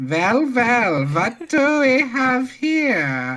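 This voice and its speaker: An extremely high-pitched put-on character voice from a man, with very wide pitch swings. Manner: creepy, menacing.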